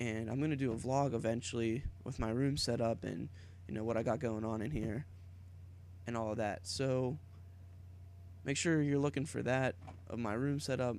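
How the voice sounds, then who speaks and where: A man with an American accent speaks at a moderate pace and a medium pitch, with ordinary pitch variation. He leaves long, frequent pauses. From Pittsburgh, western Pennsylvania, US. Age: 20s. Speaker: YouTuber, college student. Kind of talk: casual vlog monologue.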